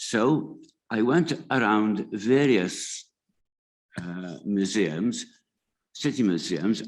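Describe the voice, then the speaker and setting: A man with a Welsh accent and vocal fry, on a very clean recording with a silent background. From Wales. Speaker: museum committee founder. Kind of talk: conference talk. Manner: halting.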